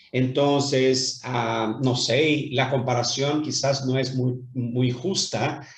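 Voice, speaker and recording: Somewhat breathy delivery at a very slow pace, with audible room echo. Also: man. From Brazil, Rio de Janeiro. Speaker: businessman. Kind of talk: interview. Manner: hesitant, many fillers.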